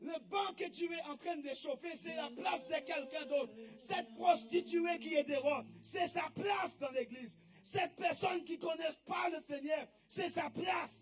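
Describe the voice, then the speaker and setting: A man shouts at an extremely high pitch. He goes at a fairly slow pace with lively intonation. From English-speaking country. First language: English (speaking French). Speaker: preacher. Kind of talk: sermon.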